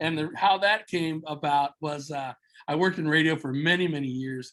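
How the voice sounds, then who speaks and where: At a moderate pace, a man speaks with fairly even intonation and a fairly high pitch. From Southern California, Mexican-American family. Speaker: entrepreneur, former radio worker. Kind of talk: podcast interview. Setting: video call. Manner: loud.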